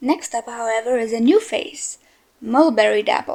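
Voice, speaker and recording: A woman speaks with high pitch. Her pitch variation is ordinary. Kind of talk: casual game commentary.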